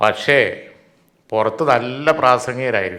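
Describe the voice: Bright and sharp in tone, a man speaks with fairly even intonation.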